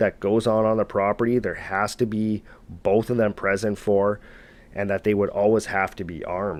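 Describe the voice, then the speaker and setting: A man speaks in a normal speaking voice with a Canadian accent and medium pitch. His pace is moderate, and the background is quiet. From Canada. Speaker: storyteller narrating viewer encounters. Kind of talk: storytelling narration; casual sign-off to viewers. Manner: casual, conversational.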